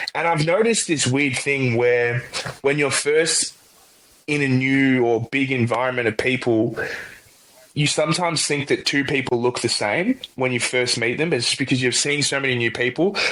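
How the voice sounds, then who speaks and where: A man with an Australian accent, medium pitch, ordinary pitch variation, very even loudness and a moderate pace. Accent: Australian, noticeable. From Australia, Melbourne. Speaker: college football punter. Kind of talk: podcast interview. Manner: casual, hesitant fillers.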